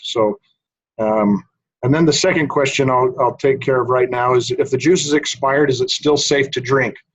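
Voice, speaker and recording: A man with an American accent speaks at a medium pitch. He is somewhat breathy and talks at a fairly quick pace. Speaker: research scientist. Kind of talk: webinar presentation. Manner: soft-spoken.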